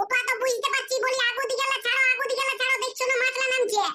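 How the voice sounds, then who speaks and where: This squeaky, cartoonish character voice sounds female, pitched extremely high, delivered in a monotone, flat intonation at a fairly quick pace. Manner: bossy, brisk.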